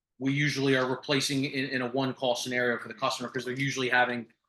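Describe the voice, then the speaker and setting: A man at medium pitch with a bright, sharp tone. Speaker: roofing company representative. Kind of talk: business presentation. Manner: fast.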